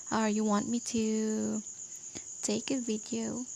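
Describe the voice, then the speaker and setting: A woman speaks at a fairly high pitch. There is noticeable background noise behind her. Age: young. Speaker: student math tutor. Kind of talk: tutorial.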